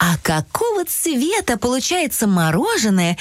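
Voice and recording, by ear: The speaker is reading aloud in a natural voice.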